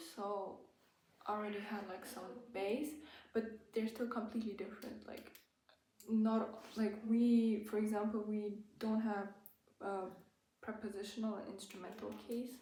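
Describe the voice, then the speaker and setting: A woman with a German accent and a fairly high pitch speaks at a moderate pace with monotone, flat intonation and long, frequent pauses. Room echo is audible. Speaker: language-learning YouTuber. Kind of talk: tutorial. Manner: hesitant, many fillers.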